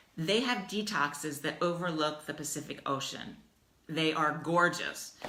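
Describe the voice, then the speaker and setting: With an American accent, a woman with a very deep, low voice speaks at a fairly slow pace with ordinary pitch variation and audible room echo. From US Midwest, Dayton, Ohio. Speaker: life coach. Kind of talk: casual livestream talk. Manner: animated.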